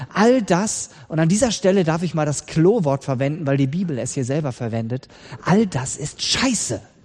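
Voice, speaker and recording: This man's voice sits fairly high. It swings through a very wide pitch range. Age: 40s. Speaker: pastor. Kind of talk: sermon.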